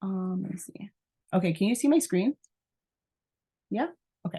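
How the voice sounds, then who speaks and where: With a dry, close sound and no echo, a woman speaks at a medium pitch in a somewhat breathy, animated tone with lively intonation. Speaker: network marketing seller. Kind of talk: training video call.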